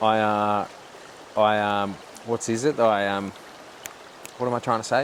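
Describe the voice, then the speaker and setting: Speaking with an Australian accent, a man uses a fairly low, monotone, flat voice at a fairly slow pace. Long, frequent pauses break up his speech over noticeable background noise. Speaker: podcast host. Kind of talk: casual chat. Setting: outdoors.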